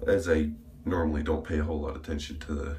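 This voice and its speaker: Over noticeable background noise and audible room echo, a man talks with a very deep, low pitch. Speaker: YouTuber reviewing shaving products. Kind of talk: casual vlog monologue. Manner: casual, rambling with fillers.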